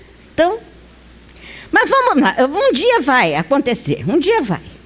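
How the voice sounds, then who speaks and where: Amid noticeable background noise, a woman talks at a fairly slow pace in a high voice with very wide pitch swings. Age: 50s. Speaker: spiritist lecturer. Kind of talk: lecture. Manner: conversational.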